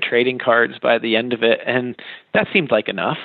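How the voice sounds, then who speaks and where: A man with an American accent talks at a moderate pace in a medium pitch, an unremarkable speaking voice. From Western Massachusetts. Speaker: artist and art educator. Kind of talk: interview.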